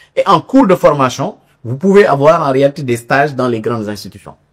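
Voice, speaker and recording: Pitch swings very widely as the words come out at a moderate pace. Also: man. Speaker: labour inspector giving a seminar talk. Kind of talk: seminar lecture. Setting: university seminar room with audience. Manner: halting, with repetitions and fillers.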